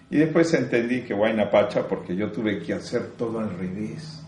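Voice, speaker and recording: The room has an audible echo. A man's voice is heard. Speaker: spiritual teacher. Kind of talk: spiritual talk.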